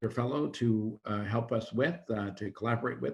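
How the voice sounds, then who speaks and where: Somewhat breathy, a man speaks at a fairly quick pace with fairly even intonation. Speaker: physician scientist and professor. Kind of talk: Q&A after a seminar lecture. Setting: video call. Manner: fast.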